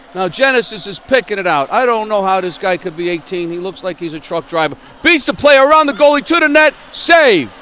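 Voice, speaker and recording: A man with a high pitch uses a raised, projected voice and very wide pitch swings, speaking at a fairly quick pace with hardly any pauses. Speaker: amateur hockey commentator. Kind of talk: live commentary. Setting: ice rink. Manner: loud.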